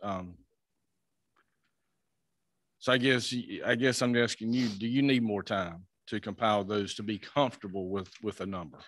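Speaking at a moderate pace, a man with a fairly low pitch and fairly bright tone keeps his intonation fairly even and leaves long, frequent pauses.

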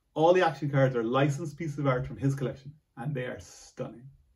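Somewhat breathy and very fast, a man talks at a fairly high pitch with ordinary pitch variation. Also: quiet background. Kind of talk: board game top ten list to camera, read from teleprompter. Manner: nervous. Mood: enthusiastic. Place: home room. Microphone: camera far.

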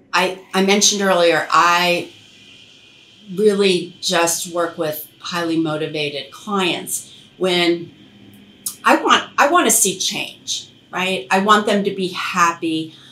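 A woman's fairly low, bright, sharp voice at a slow pace, with ordinary pitch variation and audible room echo

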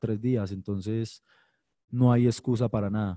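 A man speaks at a moderate pace in a dark, mellow tone with fairly even intonation against a quiet background. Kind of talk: interview answer. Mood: serious, calm. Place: hall. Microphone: podium.

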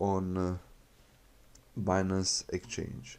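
A man's fairly low-pitched voice with a dark, mellow tone, a very slow pace and a Bosnian accent. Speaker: YouTube crypto channel host. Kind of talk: tutorial. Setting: screen recording voiceover. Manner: halting, with filler words and repetitions.

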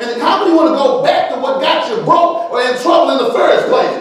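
A man's extremely high voice with very wide pitch swings and an animated tone, at a moderate pace, amid strong room echo and light background noise. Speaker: preacher. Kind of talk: sermon. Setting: church. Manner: animated, call-and-response preaching, urging the congregation to say amen. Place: church.

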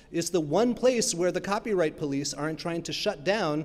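This man, with an American accent, has a high pitch and ordinary pitch variation. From New York (Brooklyn); New York. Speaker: academic keynote speaker on copyright; keynote speaker. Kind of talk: keynote lecture. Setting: stage with audience. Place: stage. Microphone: podium.

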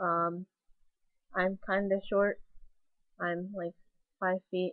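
At a very slow pace, a woman speaks in a monotone, flat way, with a dry sound, no echo and a quiet background. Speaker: vlogger. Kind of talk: casual vlog monologue. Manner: put-on weird voice; halting with pauses. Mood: playful, self-mocking. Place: home room. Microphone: webcam.

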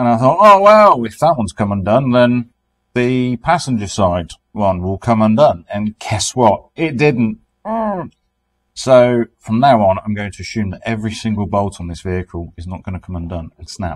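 A man with a British accent at a moderate pace, big swings in loudness, against a quiet background. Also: medium pitch for a man, lively intonation. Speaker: car restoration YouTuber. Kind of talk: casual vlog narration. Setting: in a shipping container workshop. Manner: weary, low energy. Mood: wry, resigned humour. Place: garage. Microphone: phone near.

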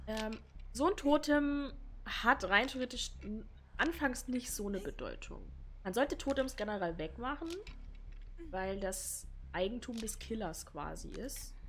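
A woman at a fairly slow pace, with long, frequent pauses and very wide pitch swings. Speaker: gaming streamer. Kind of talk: commentated gameplay. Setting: home recording, gaming setup.

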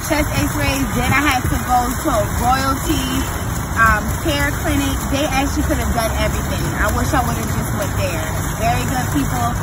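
A woman speaks at a moderate pace while loud background noise fills the recording. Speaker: vlogger. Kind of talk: casual vlog chat. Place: street. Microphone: phone near.

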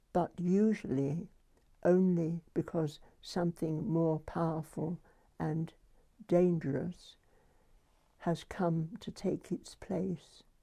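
A woman in a British accent, fairly low in pitch, very slow, with a dark, mellow tone and fairly even intonation against a quiet background. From United Kingdom. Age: 80s+. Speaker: nuclear historian. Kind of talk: interview answer. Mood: reflective, grave. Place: home room.

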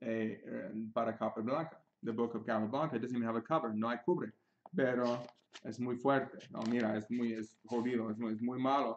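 The man talks at a moderate pace and medium pitch. His pitch variation is ordinary, with light background noise. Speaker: chess teacher. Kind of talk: tutorial. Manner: halting, self-correcting in Spanish; switches between Spanish and English. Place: home room. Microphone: webcam.

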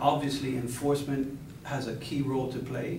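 A man is talking in a room with audible echo. Light background noise sits under his voice. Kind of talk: press conference answer. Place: hall.

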